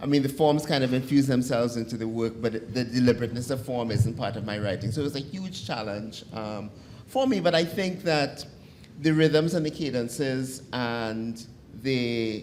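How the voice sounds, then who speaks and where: Amid audible room echo, a man talks at a medium pitch and moderate pace with ordinary pitch variation. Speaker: poet and columnist. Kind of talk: panel discussion.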